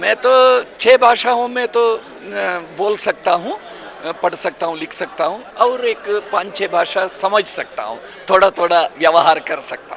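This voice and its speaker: Over noticeable background noise, a man with a Kannada accent talks in a high pitch, with ordinary pitch variation and big swings in loudness. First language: Kannada (speaking Hindi). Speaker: language activist. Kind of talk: interview. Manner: hesitant, with filler sounds.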